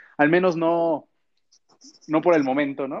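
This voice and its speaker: Speaking at a moderate speed, a man is heard with a quiet background. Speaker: podcast co-host. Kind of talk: casual chat. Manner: animated.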